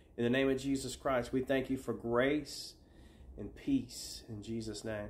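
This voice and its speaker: This is a man speaking. His intonation is fairly even. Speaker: faith healer. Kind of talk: fervent intercessory prayer, commanding healing declarations. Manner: commanding, repetitive invocations in Jesus' name; soothing, reassuring when guiding listener to relax. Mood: calm, earnest, fervent. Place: home room.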